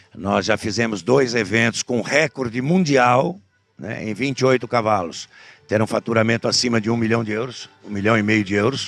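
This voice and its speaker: A man's medium-pitched voice at a moderate pace with ordinary pitch variation, dry and close with no echo, over music in the background. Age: 60s. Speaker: horse breeders' association president and auctioneer. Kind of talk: interview. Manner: halting, with fillers.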